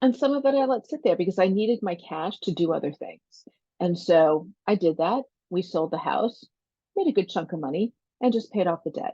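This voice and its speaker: A dark, mellow tone with very wide pitch swings at a fairly quick pace. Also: woman, medium pitch for a woman, dry, close sound with no echo. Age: 60s. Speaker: life coach and podcast host. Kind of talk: solo podcast monologue. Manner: conversational.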